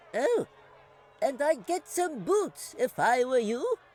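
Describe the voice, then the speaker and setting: Putting on a squeaky character voice, a man speaks fairly slowly at an extremely high pitch. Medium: read story. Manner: chatty, grandfatherly.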